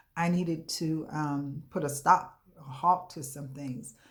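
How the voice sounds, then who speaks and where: A woman's very deep, low voice with ordinary pitch variation and audible room echo. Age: 60s. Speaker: coaching client giving a testimonial. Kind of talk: testimony. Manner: hesitant, frequent fillers.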